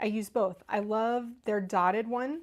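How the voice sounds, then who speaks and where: In an American accent, a woman with a fairly high pitch talks at a fairly slow pace with fairly even intonation. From Northern Kentucky, near Cincinnati. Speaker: craft video host. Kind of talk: live-stream craft tutorial with chat. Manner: chatty, casual.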